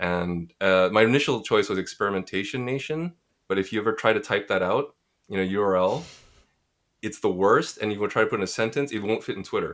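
Very clean, with a silent background, this recording features a man with a Montreal accent. His voice is fairly low-pitched, with ordinary pitch variation, at a fairly quick pace. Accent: Canadian English (Montreal). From Montreal, Quebec, Canada. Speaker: community founder and podcast host. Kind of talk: casual interview answers.

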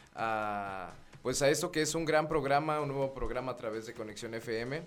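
A man's fairly high voice with lively intonation at a fairly slow pace, audible room echo behind it. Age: 20s. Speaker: radio host. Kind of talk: radio talk show.

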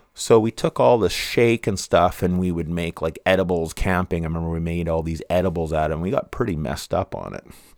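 Speaking at a fairly quick pace with hardly any pauses, a man with a Western Canadian accent and a very deep, low pitch shows ordinary pitch variation in a very clean recording with a silent background and a dry, close sound with no echo. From Canada, Vancouver (East Van). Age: 50s. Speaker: podcast host. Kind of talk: casual monologue.

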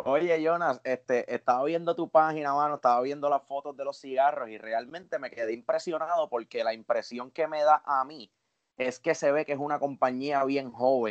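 A man has an unremarkable speaking voice, fairly high in pitch and fairly even in intonation. His moderate pace comes through in a dry, close sound with no echo. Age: 30s. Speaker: podcast co-host and professional musician. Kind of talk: casual interview chat.

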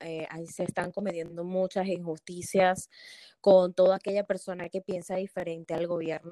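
The recording is dry and close with no echo as a woman speaks in a monotone, flat way at a fairly low pitch, her tone dark and mellow. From Venezuela. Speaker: pharmacist and business consultant. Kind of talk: interview.

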